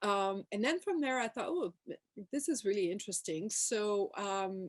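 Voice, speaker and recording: Against a quiet background, a woman with a medium pitch and a Quebec French accent speaks with lively intonation in a dry, close sound with no echo. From Quebec, Montreal. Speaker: professor. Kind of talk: panel talk. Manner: hesitant, many fillers.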